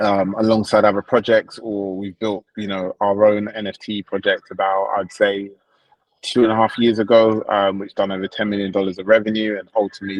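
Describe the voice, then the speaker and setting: The speaker has a London accent and a monotone, flat intonation. The pace is moderate and the sound is dry and close with no echo. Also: man. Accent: British (London). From England, London. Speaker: crypto project founder. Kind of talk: livestream interview. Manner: hesitant, many fillers.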